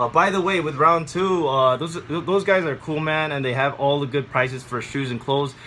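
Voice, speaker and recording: Speech at a moderate pace with hardly any pauses and ordinary pitch variation comes through noticeable background noise. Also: man, fairly high pitch for a man. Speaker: thrift haul vlogger. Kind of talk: casual haul video monologue. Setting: home, bedroom. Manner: halting, many fillers.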